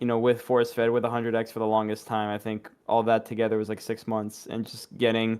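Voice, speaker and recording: A man speaks at a fairly quick pace in a monotone, flat intonation. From Quebec. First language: French. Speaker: esports player. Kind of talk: casual chat.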